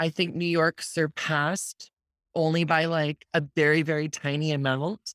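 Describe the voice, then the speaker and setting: A woman speaks with an enthusiastic tone at a very deep, low pitch and a moderate pace. Her loudness is very even, and the sound is dry and close with no echo. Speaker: podcast host. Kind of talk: interview.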